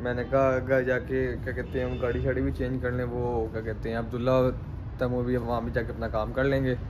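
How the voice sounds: With audible room echo, a man talks at a fairly quick pace in a medium pitch and a monotone, flat intonation.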